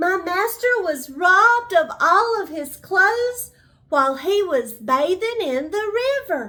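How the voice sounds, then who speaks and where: A woman performs a put-on character voice at an extremely high pitch. She delivers it at a fairly slow pace. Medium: read story. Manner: smooth, scheming.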